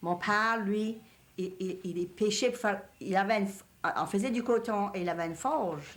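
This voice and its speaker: Here is a woman with a Cajun accent at a medium pitch. She talks at a fairly slow pace with ordinary pitch variation. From Louisiana, Cajun country. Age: 60s. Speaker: elderly Cajun woman interviewee. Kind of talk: reminiscing interview.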